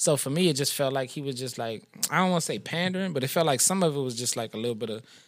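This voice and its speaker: With a fairly high pitch, a man talks. His delivery is very fast. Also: ordinary pitch variation. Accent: Louisiana. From New Orleans, Louisiana. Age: 30s. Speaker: rapper. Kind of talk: casual chat.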